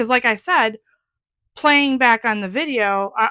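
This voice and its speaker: A woman talks loudly with lively intonation and a bright, sharp tone, recorded very cleanly against a silent background with a dry, close sound and no echo. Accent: American. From US Midwest, Wisconsin. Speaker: craft YouTuber. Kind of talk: casual chat.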